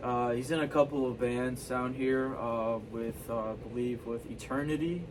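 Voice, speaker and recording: With an American accent, a man of medium pitch speaks at a moderate pace and fairly even intonation, with audible room echo and noticeable background noise. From Texas, Houston. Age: 20s. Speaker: local musician. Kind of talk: casual chat. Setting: studio.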